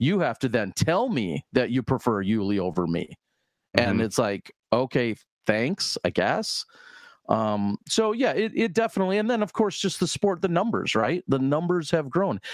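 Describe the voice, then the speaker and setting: Speaking at a moderate pace with a Midwestern US accent, a man with a fairly high pitch makes very wide pitch swings at very even loudness, recorded dry and close with no echo. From US Midwest. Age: 40s. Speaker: disc golf commentator. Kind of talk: casual interview.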